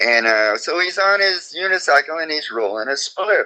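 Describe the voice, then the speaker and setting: Lively intonation marks this man's speech. He has an American accent. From Oklahoma, US. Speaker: reggae singer. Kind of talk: interview storytelling. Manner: animated.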